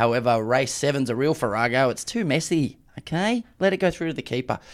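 Here a man speaks with an Australian accent at a fairly quick pace. The recording is very clean, with a silent background. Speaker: racing podcast host. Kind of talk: casual chat.

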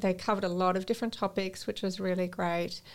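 A woman with an Australian accent at a fairly quick pace, in a very clean recording with a silent background. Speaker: yoga teacher and make-up artist. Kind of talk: casual chat. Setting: studio.

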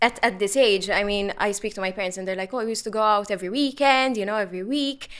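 An ordinary speaking voice with ordinary pitch variation, in a very clean recording with a silent background. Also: woman. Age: 20s. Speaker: mental health activist. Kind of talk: panel discussion. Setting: studio.

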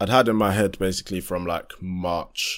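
The man's delivery is monotone and flat, moving at a moderate pace. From southeast London. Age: 20s. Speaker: amateur R&B and hip-hop musician. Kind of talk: casual interview chat.

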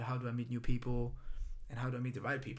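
A man with a Greek accent talks at a medium pitch, with fairly even intonation. Room echo is audible. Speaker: run club founder, salesperson. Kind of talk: casual chat.

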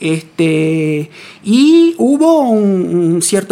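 Noticeable background noise sits behind a woman with an Argentine accent whose medium pitch moves in very wide swings. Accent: Rioplatense Argentine Spanish. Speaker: radio science segment host; physics researcher. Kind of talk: interview. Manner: halting, many repetitions.

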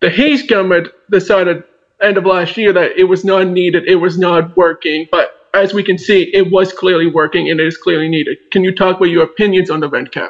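The man's voice sits high and moves at a fairly quick pace. His intonation stays fairly even. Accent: Maritime Canadian. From southwestern New Brunswick, Canada. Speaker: student podcast host. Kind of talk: interview.

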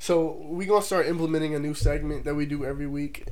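Speech at a very fast pace sits against noticeable background noise. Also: man. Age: 20s. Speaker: podcast host. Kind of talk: casual chat.

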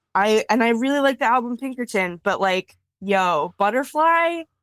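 A woman's normal speaking voice at a fairly slow pace, lively in intonation, very even in loudness, with a dry, close sound and no echo. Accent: American. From US Midwest, Wisconsin. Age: 30s. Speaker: cartoonist and art educator. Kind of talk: casual chat. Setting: video call.

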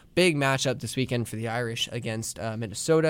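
On a very clean recording with a silent background, a man with an American accent uses a normal speaking voice at a medium pitch and ordinary pitch variation. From New Jersey, near Philadelphia. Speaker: student radio host. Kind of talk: solo sports commentary show.

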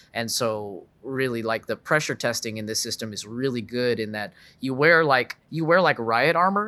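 With an American accent, a man talks at a moderate pace and medium pitch, using lively intonation, a bright, sharp tone and hardly any pauses, on a very clean recording with a silent background. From US South, Dallas suburbs, Texas. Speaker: musician. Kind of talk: casual chat.

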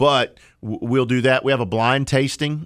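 A plain, everyday voice with an American accent moves at a moderate pace with fairly even intonation, on a very clean recording with a silent background. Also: man. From Oklahoma. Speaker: trade association executive. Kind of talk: radio interview. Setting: studio.

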